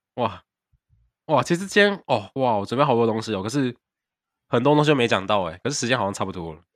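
A man at a medium pitch, talking at a very fast pace, with very wide pitch swings and long, frequent pauses. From Taiwan. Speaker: podcast co-host, exchange student. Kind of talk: casual chat.

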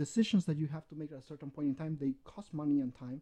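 A man with a Spanish accent speaks at a fairly high pitch with ordinary pitch variation. His tone is dark and mellow, and the sound dry and close with no echo. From Peru. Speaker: games sales and marketing. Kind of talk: casual interview.

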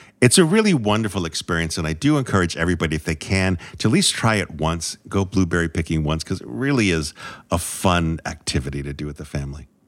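Talking at a very fast pace, a man uses a very deep, low pitch and lively intonation. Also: very clean recording, silent background. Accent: New England. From New England. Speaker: food podcast co-host. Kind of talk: casual chat.

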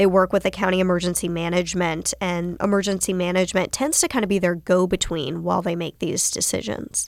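With an American accent, a woman speaks at a fairly quick pace in a normal speaking voice, at medium pitch with ordinary pitch variation. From North Carolina, Winston-Salem. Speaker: TV meteorologist. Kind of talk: casual interview.

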